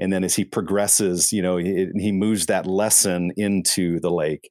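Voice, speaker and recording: In a very clean recording with a silent background, a man with a plain, everyday voice speaks at a fairly low pitch with fairly even intonation. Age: 40s. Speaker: pastor. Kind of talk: interview.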